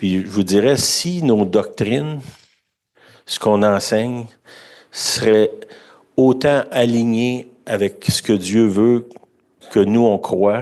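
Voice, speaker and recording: Speaking in a Quebec accent, a man with a dark, mellow tone and medium pitch goes at a very slow pace with long, frequent pauses and ordinary pitch variation. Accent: Québécois French. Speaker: preacher. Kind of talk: sermon. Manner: conversational.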